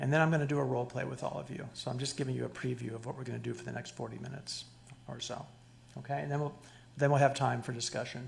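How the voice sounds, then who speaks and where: A man speaks at a very fast pace, with audible room echo. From Cuba. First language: Spanish. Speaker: psychologist lecturer. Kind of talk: lecture. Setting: stage with audience. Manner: animated, interactive. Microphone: too far from the mic at first.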